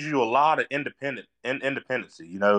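A man with a North Carolina accent speaks at a moderate pace in a fairly high pitch with lively intonation, in a dry, close sound with no echo against a quiet background. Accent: Southern US (North Carolina). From North Carolina, US. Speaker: podcast co-host, motocross track builder. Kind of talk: casual chat.

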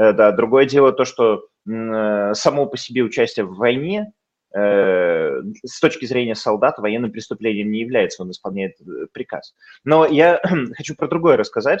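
A man at a medium pitch speaks fairly slowly over a quiet background, with very wide pitch swings and big swings in loudness. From Bendery, Moldova / Transnistria; raised in Leningrad. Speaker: former municipal deputy, historian. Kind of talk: interview.

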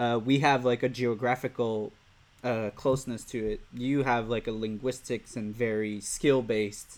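The speaker has a Quebec accent and a moderate pace. The intonation is monotone and flat. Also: man, medium pitch for a man. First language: French. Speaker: podcast host. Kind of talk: interview. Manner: halting, many fillers.

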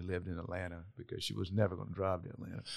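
A man with a Southern US accent speaks in a very deep, low pitch on a very clean recording with a silent background. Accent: Southern US (Georgia). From US South, south Georgia. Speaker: non-profit executive. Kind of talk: interview conversation. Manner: halting, frequent repetitions.

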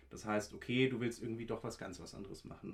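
A man speaks at a very fast pace in a fairly low pitch with fairly even intonation. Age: 20s. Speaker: law student. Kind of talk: casual interview.

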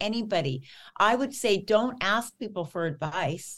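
Her voice is fairly high, with lively intonation and an animated tone as this woman speaks. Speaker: rock singer. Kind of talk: casual interview.

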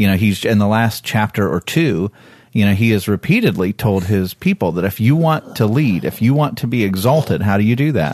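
Talking at a fairly quick pace, a man has a fairly low pitch. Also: lively intonation. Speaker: pastor. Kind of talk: Bible study discussion. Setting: studio.

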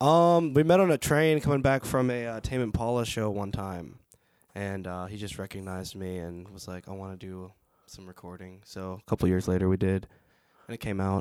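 Over a silent background on a very clean recording, a man speaks at a moderate pace with a fairly low pitch. His pitch varies in an ordinary way while his loudness swings widely. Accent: Western Pennsylvania. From Canonsburg, Pennsylvania. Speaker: guitarist and lead singer. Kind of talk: casual interview. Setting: recording studio.

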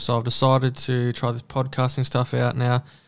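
A man with an Australian accent speaks at a fairly quick pace on a very clean recording with a silent background. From Australia, New South Wales country town. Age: 20s. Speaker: podcast host, dirt bike rider. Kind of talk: casual solo monologue.

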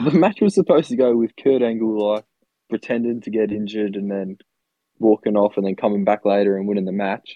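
A man with an Australian accent talks at a fairly quick pace. His pitch is fairly low and his intonation fairly even. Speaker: podcast co-host. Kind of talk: casual chat.

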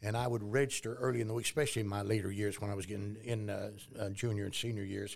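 Delivering a monotone, flat intonation at a very fast pace, a man talks with a West Texas accent. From Texas, near Lubbock. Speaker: Sunday school teacher and Vietnam veteran. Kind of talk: interview. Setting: studio.

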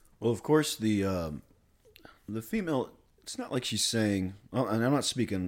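Moderate pace and lively intonation in an unremarkable speaking voice. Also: man. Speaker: podcast host. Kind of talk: casual conversation. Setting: at a friend's home.

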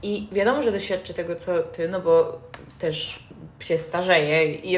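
Noticeable background noise fills the recording. Through it, a woman speaks. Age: young. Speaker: podcast host. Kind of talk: casual chat. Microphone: poor built-in mic, low quality.

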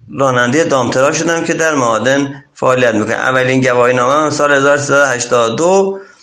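A man with a medium-pitched, bright and sharp voice speaks at a fairly slow pace with hardly any pauses, very even loudness and ordinary pitch variation, and audible room echo surrounds him. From Iran, Chaharmahal and Bakhtiari. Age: 40s. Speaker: dump truck driver. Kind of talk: interview. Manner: formal.

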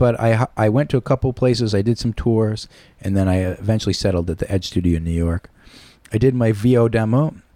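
The tone is dark and mellow, with a Northeastern US accent and ordinary pitch variation at a very fast pace. The recording is very clean, with a silent background. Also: man, fairly low pitch for a man. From Connecticut (Shelton). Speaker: recording studio owner and voice actor. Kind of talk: casual chat. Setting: studio.

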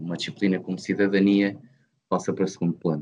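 Against a quiet background, a man with a fairly low pitch talks in a monotone, flat intonation. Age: 20s. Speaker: engineering student, podcast co-host. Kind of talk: casual debate among friends. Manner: measured, formal.

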